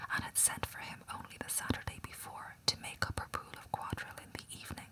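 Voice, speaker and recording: Someone whispers at a moderate pace against noticeable background noise. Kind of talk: whispered audiobook reading of a classic novel, ASMR. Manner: whispered, relaxing, calming.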